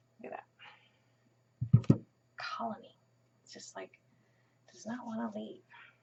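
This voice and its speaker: Soft-spoken, the voice moves at a moderate pace with long, frequent pauses. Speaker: crafting tutorial host. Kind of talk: tutorial.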